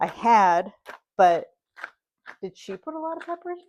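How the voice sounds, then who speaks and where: Speaking at a moderate pace with lively intonation, a woman in a Pittsburgh accent comes through in a very clean recording with a silent background. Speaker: cooking channel host. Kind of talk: cooking tutorial. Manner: casual, chatty.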